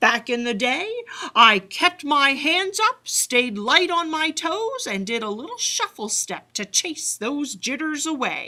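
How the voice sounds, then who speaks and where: A woman puts on a character voice with a high pitch and very wide pitch swings. She speaks at a fairly slow pace. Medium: read story.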